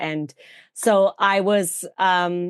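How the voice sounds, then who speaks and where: A woman with an English accent, medium pitch and ordinary pitch variation, against a quiet background. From England, outskirts of London (Surbiton). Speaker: vintage fashion influencer and actress. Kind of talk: podcast interview.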